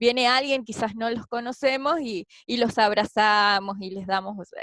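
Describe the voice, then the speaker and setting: Using an Argentine accent, a woman speaks at a fairly slow pace with ordinary pitch variation. The sound is dry and close, with no echo. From Argentina (Patagonia). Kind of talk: interview answer.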